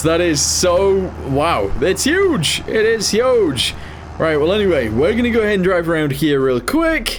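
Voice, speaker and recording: With noticeable background noise and audible room echo, a man speaks at a high pitch and a fairly slow pace, his lively intonation paired with very even loudness. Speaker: gaming youtuber. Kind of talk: gameplay commentary.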